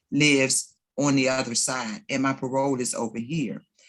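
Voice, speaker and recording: A woman with an American accent and a very deep, low pitch. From Washington DC area. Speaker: formerly incarcerated panelist. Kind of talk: panel discussion.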